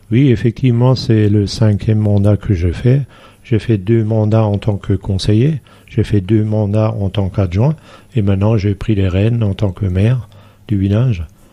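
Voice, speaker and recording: A man speaks at a fairly slow pace in a fairly low pitch, his tone dark and mellow, his loudness very even and his intonation fairly even. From Alsace, near Saverne, farm upbringing. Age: 60s. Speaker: village mayor. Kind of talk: radio interview. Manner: hesitant, many fillers.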